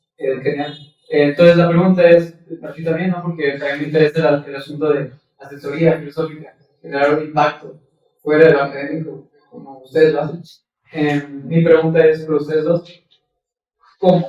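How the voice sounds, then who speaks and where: Here a man speaks at a fairly high pitch and moderate pace, his intonation monotone and flat. He leaves long, frequent pauses, and his loudness swings widely. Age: 30s. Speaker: philosophy student. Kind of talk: audience question.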